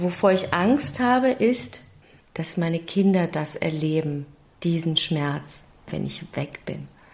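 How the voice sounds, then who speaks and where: This woman has a fairly low pitch and lively intonation. She speaks at a very slow pace. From Germany, Stuttgart. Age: 50s. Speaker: actress and singer. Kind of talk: interview.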